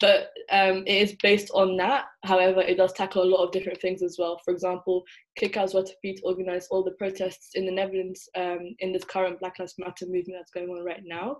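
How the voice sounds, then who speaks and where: This woman has a medium pitch and an English accent. She talks at a very fast pace with monotone, flat intonation. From England. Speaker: university student. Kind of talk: interview.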